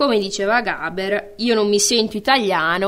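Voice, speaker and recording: Her intonation fairly even and her pitch medium, a woman keeps to a moderate pace. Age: 30s. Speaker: radio host. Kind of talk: radio talk show.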